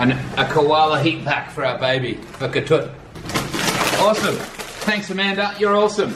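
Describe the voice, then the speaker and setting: A man speaks at a moderate pace with long, frequent pauses. Loud background noise is present. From Australia (Sydney). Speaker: vlogger's partner, co-presenter. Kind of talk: casual unboxing chat. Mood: cheerful, enthusiastic. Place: home room. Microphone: camera far.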